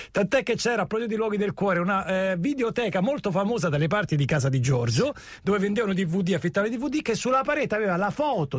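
A man talks at a very fast pace in a high pitch. His voice makes very wide pitch swings. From Rome (Cinecittà). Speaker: radio host. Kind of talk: morning radio call-in show chat.

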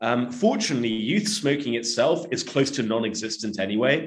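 A man with an unremarkable speaking voice talks at a moderate pace in a medium pitch. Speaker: tobacco policy analyst. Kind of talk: interview.

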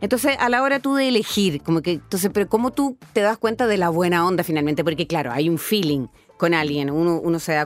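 Music plays in the background as a woman speaks at a fairly low pitch and a fairly quick pace. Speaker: radio host. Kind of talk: radio interview.

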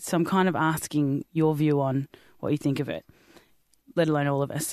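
This is a woman with an Australian accent. Behind her the background is quiet. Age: 30s. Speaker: podcast host. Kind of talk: casual chat. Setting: studio. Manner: animated.

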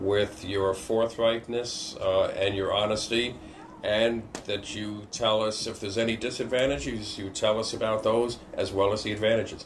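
With noticeable background noise, a man speaks at a medium pitch in a monotone, flat intonation. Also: moderate pace. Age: 70s. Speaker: business owner and financial client. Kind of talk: interview. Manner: halting.

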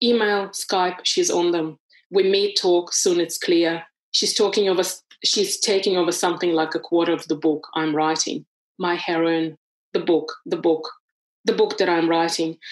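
A woman uses a normal speaking voice, fairly low in pitch, at a fairly slow pace with fairly even intonation and very even loudness. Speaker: author. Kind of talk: reading aloud then interview conversation.

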